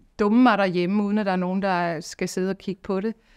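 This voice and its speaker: A woman with a medium pitch talks at a moderate pace in an unremarkable speaking voice. Her intonation is fairly even, and the background is quiet. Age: 50s. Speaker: singing teacher. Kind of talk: testimony. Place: studio.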